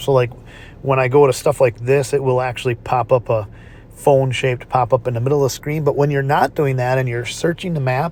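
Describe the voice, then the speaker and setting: A somewhat breathy man at a fairly quick pace, his intonation fairly even. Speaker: gaming YouTuber. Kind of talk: gameplay tutorial. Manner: halting, many fillers.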